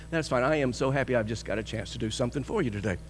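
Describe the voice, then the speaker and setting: A man's animated tone carries vocal fry and ordinary pitch variation. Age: 60s. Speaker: pastor. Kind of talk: sermon. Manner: animated storytelling.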